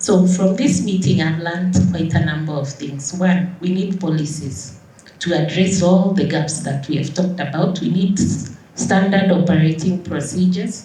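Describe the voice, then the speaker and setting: Through audible room echo and noticeable background noise, a woman with a fairly low pitch talks at a moderate pace with fairly even intonation. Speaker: doctor, conference speaker. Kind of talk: closing conference speech.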